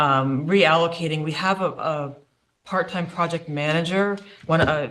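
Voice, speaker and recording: There is audible room echo around a man's voice. His pitch is fairly high, and his intonation is monotone and flat. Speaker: municipal staff presenter. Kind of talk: budget presentation. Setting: council meeting. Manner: fast.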